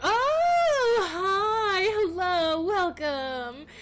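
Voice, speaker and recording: An extremely high-pitched put-on character voice comes through over clear background noise. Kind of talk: service register. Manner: polite, cheerfully welcoming.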